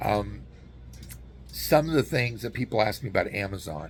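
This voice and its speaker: A man speaks with an American accent and vocal fry. His pitch swings are very wide. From US Southwest, New Mexico. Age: 60s. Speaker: YouTuber and relocation guide. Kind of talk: casual informational vlog. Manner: casual, with frequent fillers and restarts.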